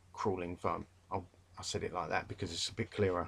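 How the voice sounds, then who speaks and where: With a London accent, a man is talking. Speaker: English literature tutor. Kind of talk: revision lecture. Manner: casual, hesitant with fillers.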